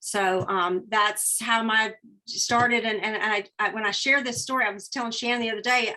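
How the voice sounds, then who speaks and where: With a Southern US accent, a woman speaks at a moderate pace in a fairly high pitch. Her tone is bright and sharp, and the background is quiet. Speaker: direct sales businesswoman. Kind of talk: webinar training talk.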